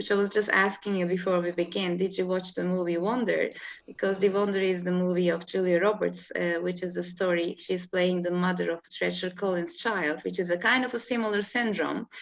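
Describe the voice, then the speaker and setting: A woman's fairly quick voice with a Turkish accent, medium in pitch, hardly any pauses, and fairly even intonation. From Turkey, Istanbul. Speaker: holistic life coach. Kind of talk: interview. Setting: video call. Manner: halting.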